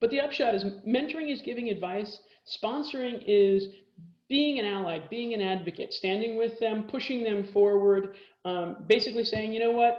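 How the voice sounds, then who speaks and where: Fairly high-pitched woman with an American accent, ordinary pitch variation and audible room echo. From Texas. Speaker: corporate lawyer. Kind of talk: lecture. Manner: fast.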